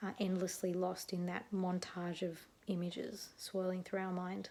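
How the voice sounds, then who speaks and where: Soft-spoken and with an Australian accent, a woman speaks in a dark, mellow tone at a fairly slow pace. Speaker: neuropsychologist; animal activism advocate. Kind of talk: casual talk to camera. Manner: quiet, soft-spoken.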